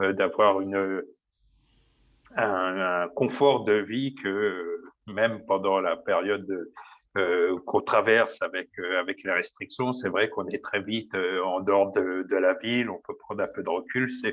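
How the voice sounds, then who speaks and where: A man's fairly low voice carries fairly even intonation. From Paris region, France. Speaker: baker. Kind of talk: interview. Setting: small room at work. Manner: loud; hesitant, many fillers.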